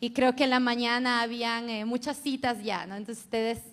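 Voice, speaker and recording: A woman speaks in an Ecuadorian accent. Her pitch is high and her intonation fairly even. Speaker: feminist researcher and professor. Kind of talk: conference talk.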